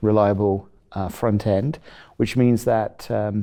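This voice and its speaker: On a very clean recording with a silent background, a man with a British accent speaks at a moderate pace in a dark, mellow tone. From England (Rugby). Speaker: chief technology officer of an instrument company. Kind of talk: interview. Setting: at a trade conference. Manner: halting with many fillers.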